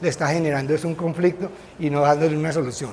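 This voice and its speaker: Through audible room echo and noticeable background noise, a man with a fairly high voice talks at a very fast pace. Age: 60s. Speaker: physician, guest lecturer. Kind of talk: lecture. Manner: conversational, with filler hesitations.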